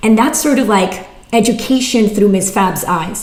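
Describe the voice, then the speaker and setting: Fairly high-pitched speech from a woman, ordinary pitch variation, audible room echo and noticeable background noise. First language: not English (English is third language). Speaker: writer and former teacher. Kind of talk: workshop Q&A. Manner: casual, filler-heavy.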